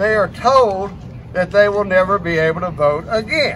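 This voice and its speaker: Amid noticeable background noise, a man's high-pitched voice rises and falls with ordinary variation. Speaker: private investigator and veteran. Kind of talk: rally speech. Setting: outdoor rally with crowd. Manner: earnest, emotional, urgent.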